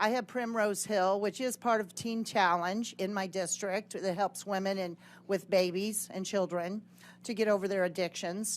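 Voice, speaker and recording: A woman's normal speaking voice at medium pitch, with fairly even intonation and a moderate pace over a quiet background. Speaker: state legislator. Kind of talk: committee hearing testimony.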